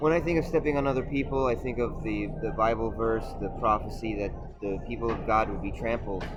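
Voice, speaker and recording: Music plays in the background amid audible room echo. The speech comes at a fairly quick pace with ordinary pitch variation. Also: man, medium pitch for a man. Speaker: video essayist. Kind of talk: monologue.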